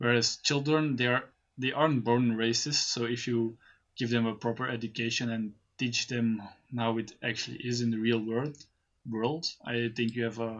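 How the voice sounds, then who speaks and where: The man talks at a moderate pace with a medium pitch. His intonation is monotone and flat. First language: Dutch (Flemish). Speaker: friend and podcast guest. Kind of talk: casual chat. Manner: halting.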